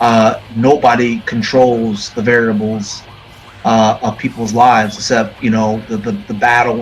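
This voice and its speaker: Noticeable background noise sits behind this recording. A man with an American accent talks at a moderate pace and medium pitch. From Florida. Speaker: metal musician. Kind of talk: interview. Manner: halting, many fillers.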